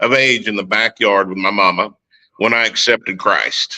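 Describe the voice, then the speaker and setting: With an Oklahoma accent, a man speaks at a moderate pace in a medium pitch, his bright, sharp tone showing ordinary pitch variation. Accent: Oklahoma country. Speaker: war veteran. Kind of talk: testimony.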